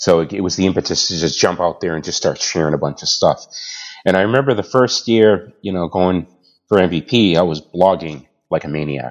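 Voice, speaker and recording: Speaking at a fairly quick pace, a man with an American accent has a very deep, low pitch. His pitch varies in an ordinary way. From Boston, US. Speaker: software development manager. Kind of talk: interview.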